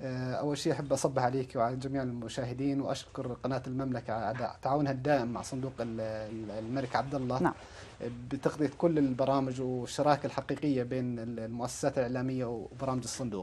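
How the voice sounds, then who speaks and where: A man with a Jordanian accent, moderate pace, monotone, flat intonation and hardly any pauses. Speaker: youth program director at a development fund; interviewee. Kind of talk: TV news interview. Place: studio.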